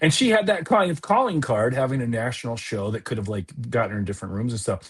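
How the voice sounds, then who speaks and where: A man with a Midwestern accent talks very fast. His intonation is lively. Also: medium pitch for a man. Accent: Midwestern, picked up from living there. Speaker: comedian, improviser and actor. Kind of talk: casual podcast interview chat. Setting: podcast.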